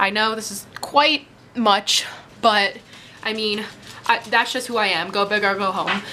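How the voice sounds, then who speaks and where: A woman at a moderate pace, ordinary pitch variation, music in the background. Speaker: teen beauty vlogger. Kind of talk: casual vlog tutorial chat. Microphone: phone near.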